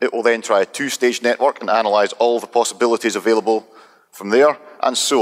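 A man speaks at a medium pitch. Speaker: presenter of software demo. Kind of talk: technical presentation.

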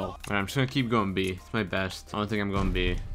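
A man's fairly low-pitched voice over music in the background. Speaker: gaming commentator. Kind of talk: live gameplay commentary. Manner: monotone.

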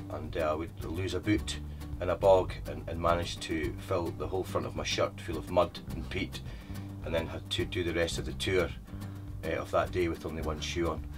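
Clear music plays behind a man with an eastern Scottish accent and a very deep, low pitch. He speaks at a moderate pace with ordinary pitch variation. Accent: east coast Scottish. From Scotland, east coast. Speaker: tour guide. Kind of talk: interview answer. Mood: warm, storytelling, smiling. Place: car.

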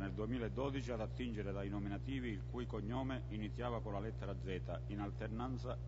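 Over noticeable background noise, a man with a very deep, low pitch and vocal fry speaks at a moderate pace. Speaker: council member reading a report. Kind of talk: formal reading of an official text. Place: hall. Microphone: podium.

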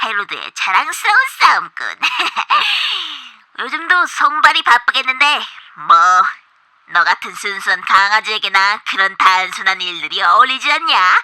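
A female-sounding voice performs a put-on character voice at a fairly high pitch. Long, frequent pauses break up the delivery. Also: moderate pace.

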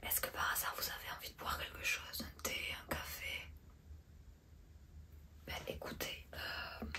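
Whispering very slowly, a woman speaks. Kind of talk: role-play salon chat to a client. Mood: soft, friendly, attentive. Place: shop. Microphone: phone near.

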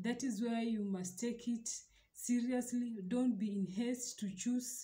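A woman speaks with a dark, mellow tone that is somewhat breathy. Her intonation stays fairly even. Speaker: relationship advice vlogger. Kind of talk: advice talk to camera. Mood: earnest, calm. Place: home room. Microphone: phone near.

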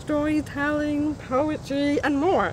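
Over light background noise, a woman talks at a fairly slow pace in a dry sound with no echo. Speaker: museum coordinator of deaf cultural programs. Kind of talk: event invitation to camera. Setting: outdoors. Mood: friendly, upbeat. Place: garden.

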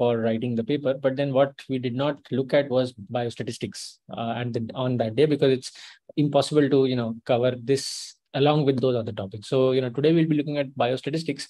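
Against a quiet background, a man talks at a fairly quick pace. His intonation is fairly even. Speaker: lecturer. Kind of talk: lecture. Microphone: video call.

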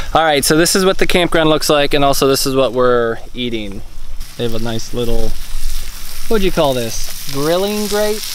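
The speech moves at a moderate pace, the sound dry with no echo, with noticeable background noise. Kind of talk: casual vlog chat. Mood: relaxed, jokey. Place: open country. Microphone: phone near.

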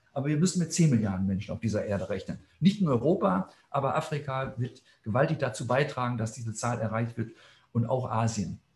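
A man talks fairly quickly at a medium pitch, somewhat breathy, with lively intonation. Audible room echo surrounds his voice. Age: 60s. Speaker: plant scientist; scientist lecturer. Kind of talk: lecture. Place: office. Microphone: webcam.

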